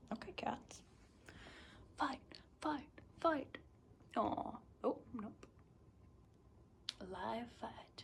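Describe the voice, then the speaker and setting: Whispering with an American accent, a woman speaks at a very slow pace with long, frequent pauses. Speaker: travel vlogger. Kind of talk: casual vlog chat. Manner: animated.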